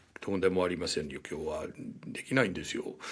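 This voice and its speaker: A man with an American accent. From United States. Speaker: journalist and author. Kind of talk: podcast interview. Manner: halting, many fillers.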